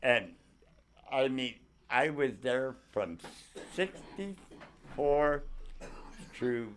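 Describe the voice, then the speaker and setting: Speaking very slowly, this man has an American accent. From San Francisco Bay Area, California. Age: 70s. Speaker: Navy veteran. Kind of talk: interview answer.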